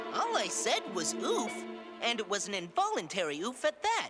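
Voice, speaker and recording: A cartoonish character voice comes through over clear music in the background. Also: moderate pace. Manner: nervous, dry-humored.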